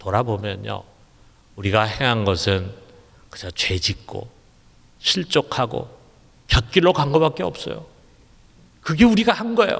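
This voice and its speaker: Fairly slow male speech broken by long, frequent pauses. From Seoul, South Korea. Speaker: pastor. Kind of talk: sermon.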